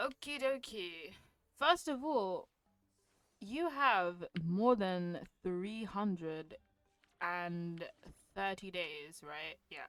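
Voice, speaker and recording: With music in the background, a woman speaks very slowly, leaving long, frequent pauses. Her intonation is lively and her loudness swings widely. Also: medium pitch for a woman. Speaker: gaming and motivation vlogger. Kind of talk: casual monologue. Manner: hesitant, filler words.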